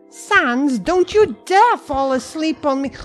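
Someone uses a put-on character voice at a fairly slow pace while faint music plays in the background. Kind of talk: comic overacting. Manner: loud, indignant, exasperated.

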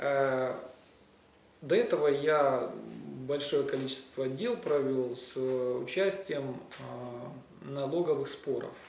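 A man talks very slowly at a fairly high pitch, with ordinary pitch variation and long, frequent pauses. Light background noise and audible room echo fill the recording. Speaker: defense lawyer. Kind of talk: press conference statement. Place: office. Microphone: handheld.

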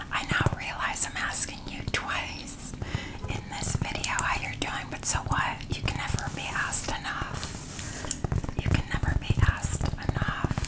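Whispering, a woman goes at a fairly slow pace. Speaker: ASMR creator. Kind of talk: ASMR shopping haul talk to camera. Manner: whispered. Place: home room. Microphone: studio mic.

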